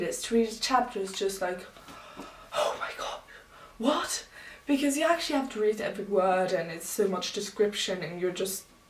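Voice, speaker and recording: A woman at a medium pitch and moderate pace with ordinary pitch variation, amid noticeable background noise and audible room echo. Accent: non-native. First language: not English. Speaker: booktuber. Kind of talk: casual vlog talk.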